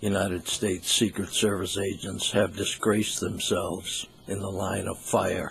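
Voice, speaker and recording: A man speaks at a fairly slow pace. His voice is somewhat breathy. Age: 70s. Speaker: news commentator. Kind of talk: opinion commentary monologue.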